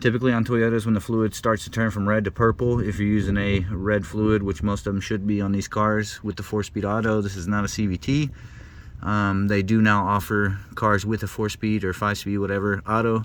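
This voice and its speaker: A man speaks fairly quickly with a fairly low pitch. His intonation is flat and monotone. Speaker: DIY car repair youtuber. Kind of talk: casual tutorial. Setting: outdoors in driveway. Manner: fast.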